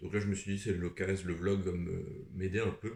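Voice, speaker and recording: This man's voice is very deep, low and somewhat breathy. He talks at a fairly slow pace in a monotone, flat intonation. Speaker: booktuber. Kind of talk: casual vlog talk. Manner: hesitant, many fillers.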